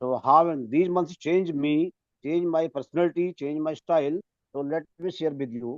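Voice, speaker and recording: Someone with an Indian accent speaks at a moderate pace. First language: Hindi. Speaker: English teacher. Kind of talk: testimony; panel talk. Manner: halting.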